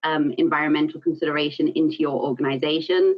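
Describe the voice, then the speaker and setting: With a South African accent, a woman talks at a fairly quick pace. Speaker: environmental consultant and business owner. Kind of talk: presentation. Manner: frequent fillers (um, uh).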